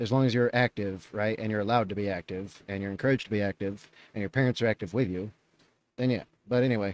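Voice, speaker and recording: Very fast speech from a man with a fairly low pitch, fairly even intonation, and a dry, close sound with no echo. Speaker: reaction youtuber. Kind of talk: reaction commentary. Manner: coughing, choking at times.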